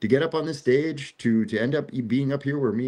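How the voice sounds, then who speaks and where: Against a quiet background, someone with an American accent talks at a very fast pace with ordinary pitch variation. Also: man. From New Jersey. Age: 40s. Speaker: talk show host. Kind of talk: casual chat. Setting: outdoors on the beach.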